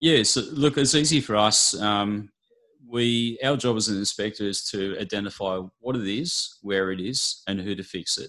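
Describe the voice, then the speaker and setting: A man's fairly low voice with an Australian accent, bright and sharp in tone, at a moderate pace with ordinary pitch variation. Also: quiet background. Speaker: building and pest inspector. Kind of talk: interview.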